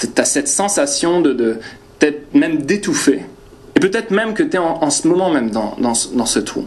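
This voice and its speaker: Amid noticeable background noise and audible room echo, a man speaks at a high pitch and moderate pace with very wide pitch swings. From northern France. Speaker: preacher. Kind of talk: personal anecdote; sermon. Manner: hesitant, many fillers.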